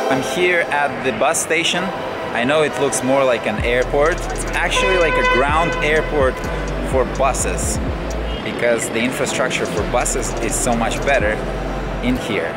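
With music in the background, the man speaks at a moderate pace. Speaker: travel vlogger. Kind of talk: casual vlog chat. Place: station. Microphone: phone near.

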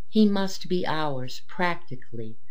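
Against noticeable background noise, a woman speaks in a solemn tone with a very deep, low pitch. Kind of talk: audiobook reading aloud of a religious text. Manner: formal, measured, solemn reading pace; earnest, reverent, devotional tone.

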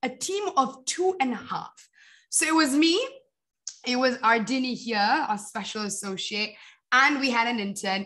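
Against a quiet background, a woman talks at a fairly slow pace in a high voice with a bright, sharp tone and lively intonation. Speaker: social entrepreneur, company founder. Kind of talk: talk with slides. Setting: video call. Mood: friendly, slightly flustered at start. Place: home room. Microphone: video call.

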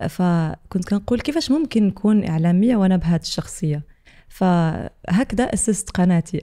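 A woman with a dark, mellow tone speaks with ordinary pitch variation against a quiet background. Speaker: podcast guest, content creator. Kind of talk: interview answer. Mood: warm, reflective. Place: studio. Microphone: studio mic.

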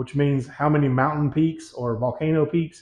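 A somewhat breathy man at a moderate pace with fairly even intonation, audible room echo, and a quiet background. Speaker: home gym equipment reviewer. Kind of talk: product review. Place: gym.

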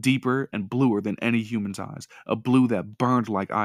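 An unforced reading voice is what comes through.

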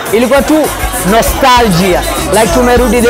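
A man speaks at a moderate pace with ordinary pitch variation while music plays in the background. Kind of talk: interview answer. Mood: excited, grateful after show. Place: cafe. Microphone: lapel.

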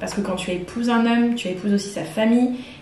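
Audible room echo and light background noise frame a woman's medium-pitched voice. She speaks at a fairly quick pace with ordinary pitch variation. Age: 20s. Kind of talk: testimony. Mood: calm, earnest personal testimony. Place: home room.

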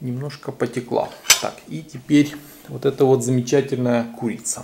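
Ordinary pitch variation from a man talking at a fairly slow pace. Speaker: video blogger. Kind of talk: casual vlog chat. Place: kitchen.

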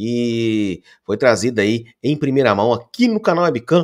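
A man's voice at a fairly slow pace, with very wide pitch swings over a quiet background. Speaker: sports channel host. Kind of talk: football news commentary. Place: home room. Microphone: studio mic.

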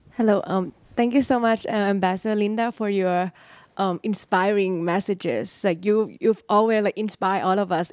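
Recorded dry with no echo, a woman speaks with a Thai accent. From Thailand. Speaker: graduate student. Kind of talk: audience question. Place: hall.

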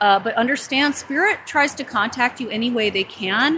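A woman's voice with noticeable background noise. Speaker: psychic live-streamer. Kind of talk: casual vlog chat. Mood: excited, slightly uneasy. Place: open country. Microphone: phone near.

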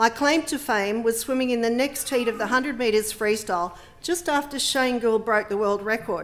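A speaker with an Australian accent talks with hardly any pauses. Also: woman, fairly high pitch for a woman, ordinary pitch variation, moderate pace. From Western Sydney, Australia; New South Wales, Australia. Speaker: politician. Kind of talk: speech. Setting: parliament chamber with public gallery. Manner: formal. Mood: warm, personal, measured. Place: hall. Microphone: podium.

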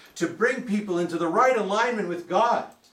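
Heard with audible room echo, a man speaks at a high pitch with ordinary pitch variation. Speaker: preacher. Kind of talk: church sermon, preaching to a congregation. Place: church. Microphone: camera far.

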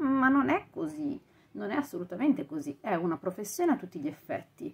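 A woman speaks at a moderate pace in a somewhat breathy voice with very wide pitch swings. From Italy. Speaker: audiobook narrator and vocal coach. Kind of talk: casual talk to camera, podcast commentary. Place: home room. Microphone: lapel.

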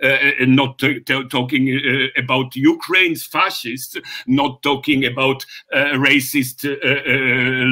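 Here a man talks at a medium pitch with a bright, sharp tone. His pace is fairly slow and his intonation fairly even.

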